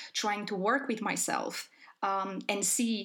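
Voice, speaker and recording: A woman talks at a fairly slow pace and medium pitch. Her intonation stays flat and monotone. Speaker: podcast host. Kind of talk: casual chat.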